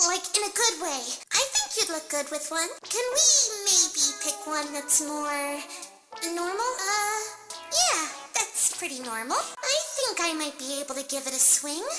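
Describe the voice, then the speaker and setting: A squeaky, put-on character voice at an extremely high pitch, timid in tone and moderate in pace, over loud music in the background. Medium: solo performance. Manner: soft-spoken, timid.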